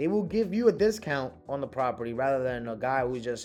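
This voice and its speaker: Over music in the background, a man with a fairly high pitch speaks at a fairly quick pace in an animated tone with lively intonation. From New York City, Harlem, Dominican family. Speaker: real estate wholesaler. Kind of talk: casual talk to camera, coaching. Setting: in a car.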